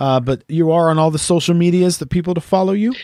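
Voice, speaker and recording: A man with a Canadian accent talks at a fairly quick pace in a high voice, recorded very cleanly with a silent background and a dry, close sound with no echo. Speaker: podcast host and musician. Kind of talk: interview.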